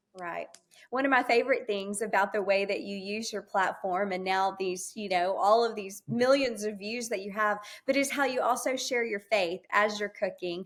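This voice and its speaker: At a moderate pace, a woman talks in a normal speaking voice of medium pitch with ordinary pitch variation. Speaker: podcast host and former TV reporter. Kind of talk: podcast interview questions.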